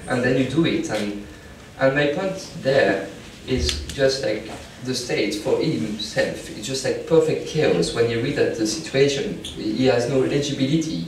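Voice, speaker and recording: Talking at a fairly slow pace, a man is heard through audible room echo and noticeable background noise. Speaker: anthropology researcher giving a talk. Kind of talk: informal talk to an audience.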